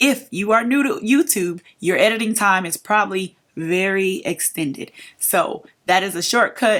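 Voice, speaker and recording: A woman at a medium pitch with ordinary pitch variation. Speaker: beauty and lifestyle YouTuber. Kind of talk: get-ready-with-me vlog advice. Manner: fast; casual, chatty.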